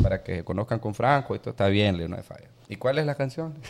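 Talking at a very fast pace, a man speaks. His voice shows vocal fry. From Honduras. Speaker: musician and music producer. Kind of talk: casual chat.

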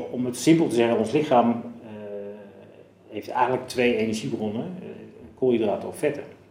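Audible room echo surrounds a man speaking at medium pitch with ordinary pitch variation. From Zeeland, Netherlands. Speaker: physiologist. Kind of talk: interview. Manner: halting.

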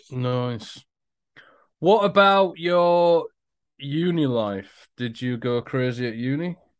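A man with an English accent and a fairly high pitch, lively intonation, a very slow pace and long, frequent pauses against a quiet background. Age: 40s. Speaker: podcast co-host. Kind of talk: casual chat.

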